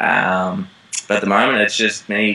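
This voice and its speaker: With an Australian accent, a man speaks at a moderate pace against noticeable background noise. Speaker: actor. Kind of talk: interview. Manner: hesitant, many fillers.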